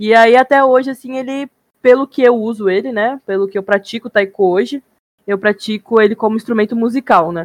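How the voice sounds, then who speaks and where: A fairly quick pace with ordinary pitch variation. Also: woman, fairly high pitch for a woman, dry, close sound with no echo. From Japan (childhood), then Brazil. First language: Japanese (speaking Portuguese). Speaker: podcast guest. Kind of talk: casual chat.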